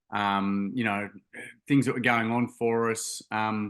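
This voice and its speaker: The voice has a bright, sharp tone and a Queensland accent against a quiet background. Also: man. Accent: Australian (Queensland). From Queensland, Australia (Gold Coast). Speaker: charity founder, youth mental health advocate. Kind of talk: podcast interview, personal story. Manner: hesitant, many fillers and repeated words.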